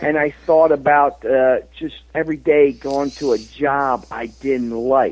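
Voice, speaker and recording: A man talks at a fairly high pitch and a fairly slow pace. He hardly pauses at all. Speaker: author and motivational speaker. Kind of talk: interview. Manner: enthusiastic.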